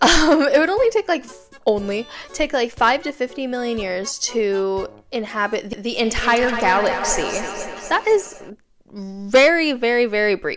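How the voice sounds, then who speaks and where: A woman's fairly high voice, lively in intonation, at a fairly slow pace over noticeable background noise. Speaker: YouTuber. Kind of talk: casual explanatory talk to camera.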